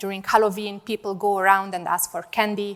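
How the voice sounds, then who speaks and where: A woman with a non-native accent talks at a medium pitch and a fairly quick pace. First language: not English. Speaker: data scientist and conference speaker. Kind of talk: conference talk. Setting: stage with audience.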